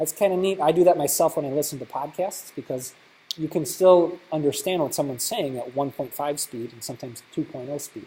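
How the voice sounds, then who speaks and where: Fairly quick and with big swings in loudness, a man speaks in a fairly high voice that is somewhat breathy, with a dark, mellow tone. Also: ordinary pitch variation. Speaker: technology teacher. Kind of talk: conference workshop presentation. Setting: conference workshop with audience. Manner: fast.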